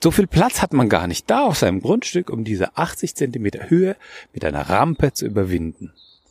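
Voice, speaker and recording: Vocal fry at a fairly quick pace with very wide pitch swings, dry and close with no echo, on a very clean recording with a silent background. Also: man, medium pitch for a man. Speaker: architect and podcast host. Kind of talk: solo podcast monologue. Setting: outdoors walking in a forest. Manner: hesitant, with fillers and repetitions.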